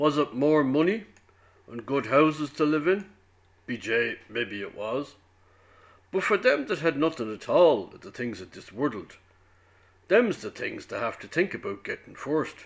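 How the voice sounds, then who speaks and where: In a Dublin accent, a man speaks at a moderate pace with a fairly high voice and very wide pitch swings. His loudness swings widely, and he leaves long, frequent pauses. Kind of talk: prose monologue reading.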